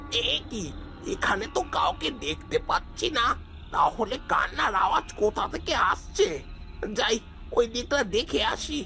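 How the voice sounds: Over clear background noise, a man performs a cartoonish character voice at an extremely high pitch. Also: fairly slow pace.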